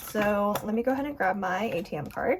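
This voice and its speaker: A woman with an American accent, a fairly high pitch, lively intonation and a moderate pace, over noticeable background noise. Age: 20s. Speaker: budgeting YouTuber. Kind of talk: casual vlog tutorial. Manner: upbeat, chatty.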